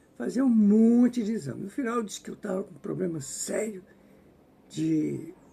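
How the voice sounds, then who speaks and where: Here a man speaks at a moderate pace. His tone is dark and mellow. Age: 70s. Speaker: spiritist book reader and commentator. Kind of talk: casual commentary. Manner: halting.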